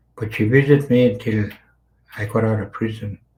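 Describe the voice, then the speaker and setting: Here a man's voice sits fairly low, with a dark, mellow tone. It is somewhat breathy. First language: Carrier (Dene language). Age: 60s. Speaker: residential school survivor. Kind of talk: testimony.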